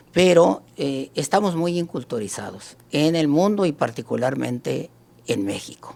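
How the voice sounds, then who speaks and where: Every word from this man comes out very slowly. His intonation rises and falls in a lively way. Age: 60s. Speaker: writer and historian. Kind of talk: debate. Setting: live stream. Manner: halting.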